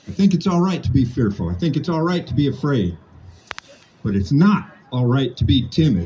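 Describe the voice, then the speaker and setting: Over music in the background, a man with an American accent talks at medium pitch and a moderate pace, his pitch swinging very widely. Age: 60s. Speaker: political activist. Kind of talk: impassioned speech.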